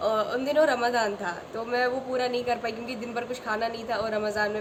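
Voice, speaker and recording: A woman's fairly high-pitched voice with fairly even intonation, set against audible room echo and noticeable background noise. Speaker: vlogger. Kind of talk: casual vlog talk. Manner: code-switching Hindi-English with many fillers.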